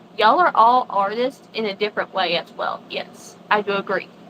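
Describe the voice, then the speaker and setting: A woman with a Southern US accent speaks at a moderate pace with ordinary pitch variation. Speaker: crochet designer on a live stream. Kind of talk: casual chat. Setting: live stream.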